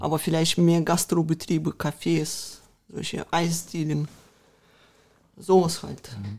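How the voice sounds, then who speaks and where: A woman's very deep, low voice with ordinary pitch variation, a very slow pace, long, frequent pauses and big swings in loudness. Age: 30s. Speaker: mayoral candidate. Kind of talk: interview.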